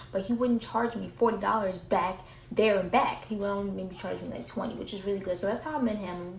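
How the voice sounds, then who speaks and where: A woman at medium pitch speaking very fast with hardly any pauses, with ordinary pitch variation, big swings in loudness, audible room echo and noticeable background noise. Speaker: vlogger. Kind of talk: casual vlog monologue.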